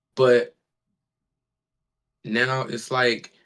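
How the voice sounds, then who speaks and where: A man at medium pitch with an American accent. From Milwaukee, Wisconsin, US Midwest. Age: 18. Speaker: underground rapper. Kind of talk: interview. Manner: hesitant, many fillers.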